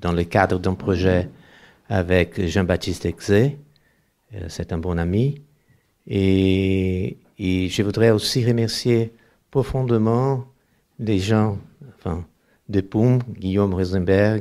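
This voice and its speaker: A very slow, dark, mellow delivery in a Brazilian accent with ordinary pitch variation and long, frequent pauses, on a very clean recording with a silent background. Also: man, fairly low pitch for a man. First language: Portuguese (speaking French). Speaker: anthropology professor, author. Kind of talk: panel discussion. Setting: bookshop event with audience. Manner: halting, repetitive stumbling.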